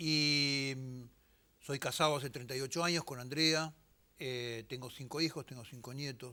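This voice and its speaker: A man's fairly high voice with a bright, sharp tone, fairly even intonation, a fairly slow pace and big swings in loudness, on a very clean recording with a silent background. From Argentina. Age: 60s. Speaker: politician and war veteran. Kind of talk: TV interview.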